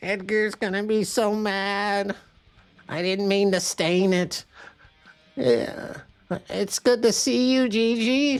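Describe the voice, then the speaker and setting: A woman puts on a character voice at a medium pitch with ordinary pitch variation. She goes at a very slow pace with long, frequent pauses. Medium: actual play. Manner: earnest, eager.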